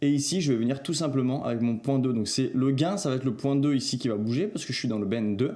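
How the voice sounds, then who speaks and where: The tone is dark and mellow. Words come at a very fast pace with lively intonation. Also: man. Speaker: video editing tutorial creator. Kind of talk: tutorial. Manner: casual, hesitant with filler sounds.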